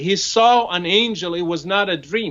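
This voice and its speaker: A man talks with an Arabic accent. His pace is fairly slow and his intonation lively. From Morocco. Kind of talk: conversational discussion.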